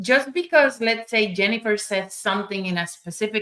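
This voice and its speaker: The speech moves at a moderate pace in a Spanish accent. Its pitch varies in an ordinary way. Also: woman. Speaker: summit speaker. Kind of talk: panel discussion. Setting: livestream.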